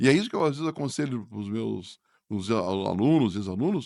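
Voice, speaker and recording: A man is speaking. The background is quiet. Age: 60s. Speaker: business school professor. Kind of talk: podcast interview. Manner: hesitant, repeats words.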